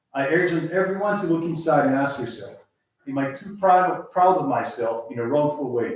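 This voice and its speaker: A man speaks with ordinary pitch variation, and audible echo fills the room around him. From Israel. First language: Hebrew. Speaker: lay speaker at synagogue service. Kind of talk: sermon.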